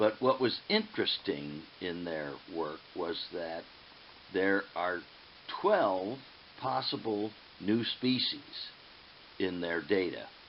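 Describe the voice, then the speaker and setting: Long, frequent pauses punctuate the very slow delivery, while the intonation stays lively. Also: man, very deep, low pitch for a man. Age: 70s. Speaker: aquatic ecologist. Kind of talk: lecture. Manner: halting, frequent fillers.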